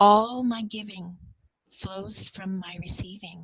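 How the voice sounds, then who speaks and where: A woman's ordinary speaking voice at a fairly slow pace, with fairly even intonation and a dry, close sound with no echo. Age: 50s. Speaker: cross-cultural mentor and former missionary. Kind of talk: personal testimony in an interview.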